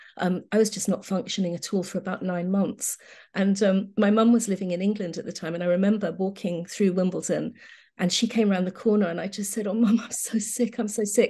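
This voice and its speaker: A somewhat breathy, dark, mellow voice, fairly quick and flat in monotone intonation, over a quiet background. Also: woman, medium pitch for a woman. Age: 60s. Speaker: homeopath. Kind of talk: interview.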